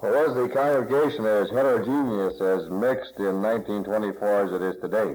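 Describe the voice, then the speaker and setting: A man's fairly low voice at a fairly quick pace, with ordinary pitch variation, hardly any pauses and audible room echo. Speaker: oral history interviewer. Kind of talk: interview. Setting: library recording session. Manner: loud; halting.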